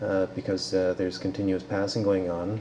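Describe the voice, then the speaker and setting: Noticeable background noise behind a man with a fairly low pitch. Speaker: researcher demonstrating a simulation. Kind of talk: software demonstration. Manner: fast; halting, many fillers.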